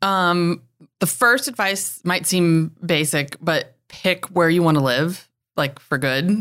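Speaking at a very slow pace, a woman with an American accent keeps her loudness very even while her intonation stays lively. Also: fairly low pitch for a woman, very clean recording, silent background. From North Carolina, near Winston-Salem. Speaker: commercial real estate broker. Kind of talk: interview.

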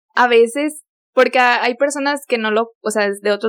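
Her intonation remains fairly even. This woman has a fairly high pitch. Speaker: former au pair. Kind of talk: casual chat.

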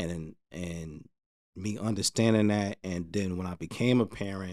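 A man with a New Jersey accent speaks at a moderate pace and a fairly low pitch, keeping his intonation fairly even. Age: 30s. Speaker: podcast guest. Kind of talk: casual chat.

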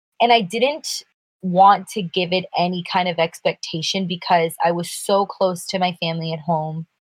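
A woman speaks with an American accent at a moderate pace and medium pitch. Her voice is somewhat breathy, with ordinary pitch variation. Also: dry, close sound with no echo. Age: 20s. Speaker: podcast co-host. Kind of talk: casual chat.

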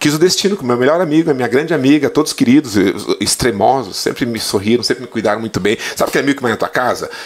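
Amid noticeable background noise, a man speaks very fast at medium pitch with lively intonation. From Santa Catarina, Brazil (western, gaúcho family). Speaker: Portuguese teacher. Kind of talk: casual interview chat.

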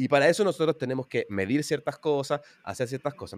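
Speaking at a very fast pace with a Chilean accent, a man has a fairly high pitch, and the sound is dry and close with no echo. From Chile, Santiago. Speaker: programming teacher and YouTuber. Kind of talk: interview.

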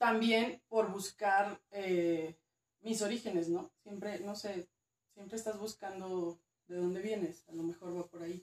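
A woman speaks in a normal speaking voice at a medium pitch. Her pace is fairly slow and her intonation fairly even. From northern Mexico, Durango. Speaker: archaeologist. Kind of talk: casual interview.

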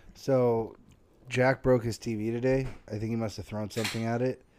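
A dark, mellow tone with fairly even intonation. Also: man. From Tennessee. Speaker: podcast co-host. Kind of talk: casual chat.

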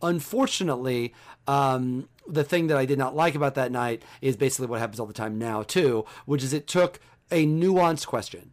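A man with an American accent, an ordinary speaking voice, a medium pitch and ordinary pitch variation at a fairly quick pace, on a very clean recording with a silent background. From central Illinois. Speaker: sports columnist. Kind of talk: interview.

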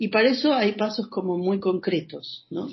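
A somewhat breathy voice at a very slow pace. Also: woman. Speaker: psychological counselor. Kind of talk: interview. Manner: talkative.

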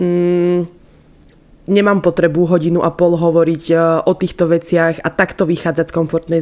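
A woman's fairly low-pitched voice with a dark, mellow tone at a moderate pace. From eastern Slovakia. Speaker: podcast co-host. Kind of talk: casual chat.

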